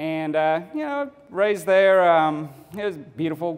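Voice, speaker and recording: In a slight Texas accent, a man speaks at a fairly slow pace with fairly even intonation. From Texas (Fort Bend County, near Houston). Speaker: photographer, public speaker. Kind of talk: speech to a club audience. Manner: many filler words, halting.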